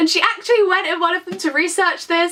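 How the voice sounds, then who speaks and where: A woman speaks with a British accent at an extremely high pitch. Her voice is raised and projected. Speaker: book vlogger. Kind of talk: casual vlog chat. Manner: fast; animated.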